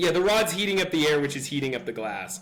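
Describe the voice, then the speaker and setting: Lively intonation carries this speaker with an American accent. Noticeable background noise runs underneath. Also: man. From California. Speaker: physics tutor. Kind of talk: tutorial. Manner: hesitant, many fillers; casual.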